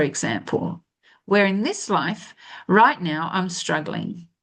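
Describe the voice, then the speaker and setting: The speaker talks with an Australian accent at a moderate pace. The background is quiet. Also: woman. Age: 60s. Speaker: spiritual life coach. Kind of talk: spiritual monologue. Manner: halting with false starts.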